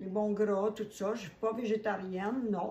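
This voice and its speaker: A woman with a medium pitch talks at a fairly slow pace in a monotone, flat intonation, with noticeable background noise behind her. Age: 70s. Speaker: holistic esthetician. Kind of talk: testimony. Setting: home kitchen.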